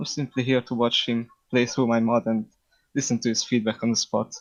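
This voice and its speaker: This man speaks with a Hungarian accent at a fairly quick pace. His voice sits at a medium pitch. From Hungary. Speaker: game mod developer. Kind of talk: casual chat. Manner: halting.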